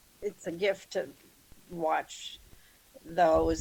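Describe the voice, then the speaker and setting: Very slow speech from a woman. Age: 70s. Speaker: experienced home gardener. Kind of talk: interview. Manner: halting.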